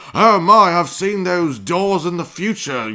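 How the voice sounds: Here a man uses a put-on character voice, high in pitch, in a British accent. He goes at a fairly slow pace over light background noise.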